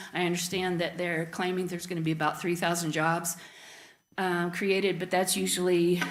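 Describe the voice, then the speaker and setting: With an American accent, a woman speaks at a fairly low pitch with monotone, flat intonation, amid noticeable background noise and audible room echo. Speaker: resident speaking at public comment. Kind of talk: public comment at council meeting. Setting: council chamber, public meeting. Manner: hesitant, many fillers.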